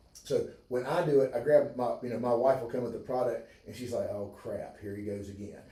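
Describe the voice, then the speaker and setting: A man at a fairly quick pace with hardly any pauses and big swings in loudness, plus audible room echo and noticeable background noise. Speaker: chiropractor. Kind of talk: livestream health talk. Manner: halting.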